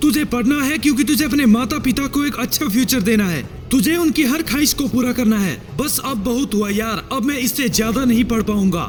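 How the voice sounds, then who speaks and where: With music playing in the background, a man speaks at an extremely high pitch. His pace is moderate and his pitch variation ordinary. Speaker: motivational speaker. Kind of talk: motivational speech.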